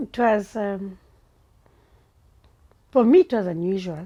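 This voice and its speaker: Speaking with a South African accent, a woman uses a dark, mellow tone at medium pitch. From Langa, Cape Town, South Africa. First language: Xhosa. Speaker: playwright. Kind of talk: interview answer.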